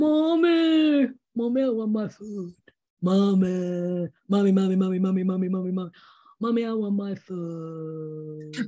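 Using a put-on character voice at a medium pitch, a woman speaks at a very slow pace with long, frequent pauses. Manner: cute, pleading.

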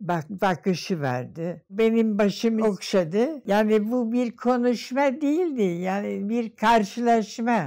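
Against a quiet background, a woman with a dark, mellow tone and fairly high pitch speaks at a very slow pace with lively intonation. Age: 80s+. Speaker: professor. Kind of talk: interview answer. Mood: moved, reflective remembering. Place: home room. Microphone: lapel.

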